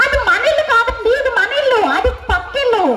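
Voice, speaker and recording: A woman's put-on character voice at an extremely high pitch, moderate pace, faint music in the background. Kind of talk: comic stage acting. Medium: stage play. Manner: exasperated, scolding.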